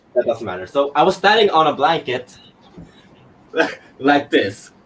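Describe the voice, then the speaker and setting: A man talks at a moderate pace with very wide pitch swings. There is noticeable background noise. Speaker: actor. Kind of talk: casual interview. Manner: halting, many fillers.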